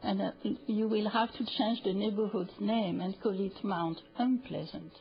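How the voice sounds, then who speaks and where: With a French accent, the speaker talks at a fairly slow pace and with fairly even intonation while music plays in the background. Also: woman, medium pitch for a woman. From France (Paris). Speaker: public hearing speaker. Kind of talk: public testimony. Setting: city council chamber. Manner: hesitant, many fillers.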